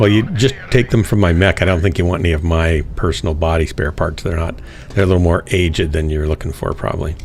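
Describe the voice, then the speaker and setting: A man's very deep, low voice at a very fast pace, with hardly any pauses, ordinary pitch variation and noticeable background noise. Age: 60s. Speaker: gaming livestreamer. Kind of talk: casual chat.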